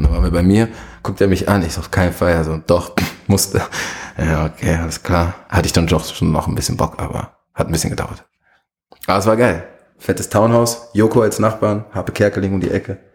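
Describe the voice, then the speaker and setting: Using a very deep, low pitch with ordinary variation, a man talks at a fairly quick pace broken by long, frequent pauses. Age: young. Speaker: music industry manager. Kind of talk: interview.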